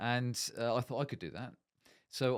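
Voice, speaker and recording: A man talks in a Bristol accent at medium pitch. The recording is very clean with a silent background. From Bristol, South West England. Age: 60s. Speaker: managing director in manufacturing. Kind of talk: casual interview.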